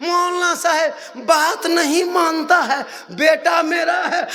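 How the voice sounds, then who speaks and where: Over noticeable background noise and audible room echo, a man talks in a raised, projected voice. His pitch is extremely high, and his tone is animated. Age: 50s. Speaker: Islamic preacher. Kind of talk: religious sermon with humor.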